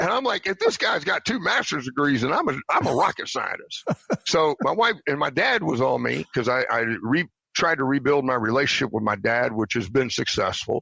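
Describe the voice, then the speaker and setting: In a Southern US accent, the speech keeps a moderate pace and very even loudness. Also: man. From Tennessee, later West Virginia. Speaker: retired army officer. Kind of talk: interview.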